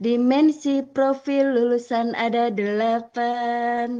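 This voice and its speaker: Here is a woman speaking. Her pitch is high. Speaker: teacher. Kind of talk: presentation in online training session.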